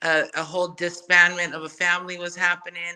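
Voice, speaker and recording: Monotone, flat intonation from a woman with a Samoan accent, her fairly low voice carrying a bright, sharp tone. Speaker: podcaster and music artist. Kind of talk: casual chat.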